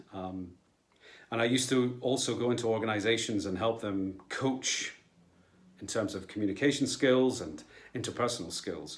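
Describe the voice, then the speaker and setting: A man with a Scottish accent speaks at a moderate pace and medium pitch, with ordinary pitch variation. He leaves long, frequent pauses, and the room echo is audible. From Scotland. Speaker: local councillor and actor. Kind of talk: personal video statement.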